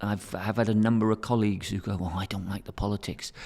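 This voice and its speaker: With an English accent, a man speaks at a moderate pace and a fairly low pitch in a very clean recording with a silent background. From England. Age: 60s. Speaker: teacher and academic director. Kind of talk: interview conversation.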